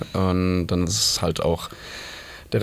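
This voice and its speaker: A man talks at a very slow pace with a very deep, low pitch. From Germany, Mainz. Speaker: punk band singer and author. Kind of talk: casual chat. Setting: radio studio.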